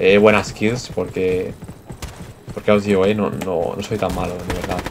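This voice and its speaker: Noticeable background noise runs behind a man speaking. His pitch is fairly low and his pace fairly slow. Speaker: gaming YouTuber. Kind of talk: gameplay commentary. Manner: halting; animated.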